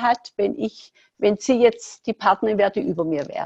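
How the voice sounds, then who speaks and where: A woman with a medium-pitched voice speaks with lively intonation and vocal fry, recorded dry and close with no echo. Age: 60s. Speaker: entrepreneur, former fitness studio owner. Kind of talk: podcast interview.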